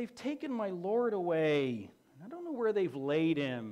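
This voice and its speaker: A woman's whiny put-on character voice, fairly low in pitch with very wide pitch swings, at a moderate pace. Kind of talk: sermon. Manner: defeated, lamenting.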